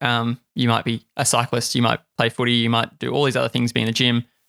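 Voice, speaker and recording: A man with an Australian accent talks at a medium pitch and a fairly quick pace, heard on a very clean recording with a silent background and a dry, close sound with no echo. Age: 20s. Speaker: podcast host. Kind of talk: casual chat.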